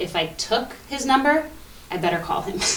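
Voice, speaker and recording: With a Canadian accent, a woman speaks at a moderate pace with ordinary pitch variation, alongside audible room echo and noticeable background noise. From Ontario, Canada. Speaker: interview guest. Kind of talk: TV interview.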